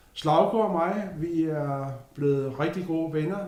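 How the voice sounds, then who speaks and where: Audible room echo surrounds a man speaking at a very slow pace. His pitch is fairly high. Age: 60s. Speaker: retiree. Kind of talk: casual interview.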